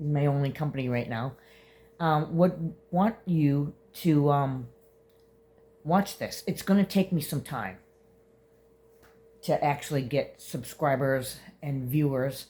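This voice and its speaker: A woman with a very deep, low pitch and a somewhat breathy voice speaks at a very slow pace, with long, frequent pauses and ordinary pitch variation. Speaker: vlogger. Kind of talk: casual vlog monologue. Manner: halting, many fillers.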